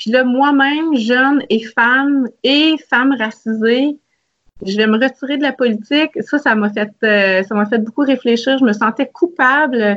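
A woman with a high pitch speaks at a fairly slow pace. Her pitch variation is ordinary. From Quebec, Salaberry-de-Valleyfield. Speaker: federal politician. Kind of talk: interview.

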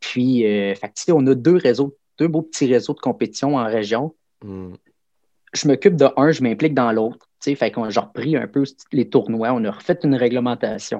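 With a dark, mellow tone, a man talks at medium pitch and a moderate pace, his pitch varying in an ordinary way. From Quebec, Abitibi-Témiscamingue. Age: 40s. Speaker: karate instructor and volunteer firefighter. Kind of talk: casual interview.

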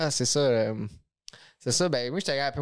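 A man is speaking. His intonation is lively. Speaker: podcast co-host. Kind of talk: casual chat.

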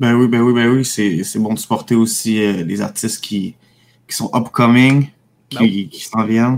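Speaking in a Quebec accent, a man at medium pitch talks at a fairly slow pace with fairly even intonation and long, frequent pauses. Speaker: radio co-host. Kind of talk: casual radio chat. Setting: home studio, remote.

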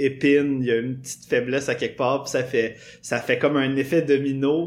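In a Quebec accent, a man speaks fairly slowly with a fairly high pitch. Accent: Québécois French. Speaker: podcast guest. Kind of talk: casual chat. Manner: animated.

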